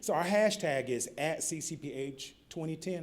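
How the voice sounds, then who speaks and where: This is a man's voice. He speaks with a Southern accent. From US South, North Carolina. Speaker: keynote speaker, public health nonprofit director. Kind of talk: conference keynote speech. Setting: conference podium with audience. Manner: animated storytelling, informal.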